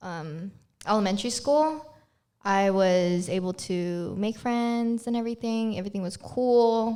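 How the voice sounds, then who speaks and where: Speaking at a fairly slow pace with a Filipino accent, a woman has a fairly high pitch, ordinary pitch variation and a dark, mellow tone. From Philippines. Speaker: podcast co-host. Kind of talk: casual chat.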